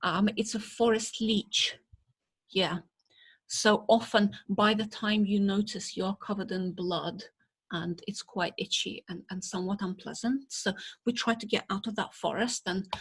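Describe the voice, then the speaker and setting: A woman's somewhat breathy, medium-pitched voice at a fairly slow pace, with monotone, flat intonation. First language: Russian. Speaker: botanist. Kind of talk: lecture.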